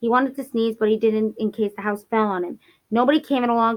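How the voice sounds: The speaker uses a natural reading voice with fairly even intonation. The background is quiet.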